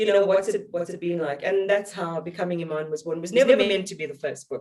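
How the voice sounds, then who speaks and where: A woman with a South African accent speaks at a very fast pace and medium pitch. Her loudness swings widely while her pitch varies in an ordinary way. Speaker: journalist, broadcaster. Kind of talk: interview answer.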